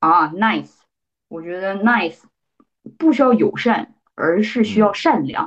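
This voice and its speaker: Speaking at a fairly slow pace with long, frequent pauses, a woman with a strong northeastern Chinese accent keeps a medium pitch yet makes very wide pitch swings and big swings in loudness. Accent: strong Northeastern Mandarin. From Northeast China. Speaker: data scientist. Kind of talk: casual interview chat.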